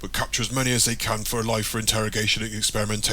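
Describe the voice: Fairly even intonation throughout plain reading aloud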